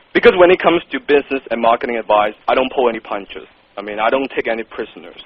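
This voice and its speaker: A man with a strong non-native accent speaks at a fairly quick pace. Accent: thick non-native. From Hong Kong. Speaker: copywriter, business owner. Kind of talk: interview. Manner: blunt, direct.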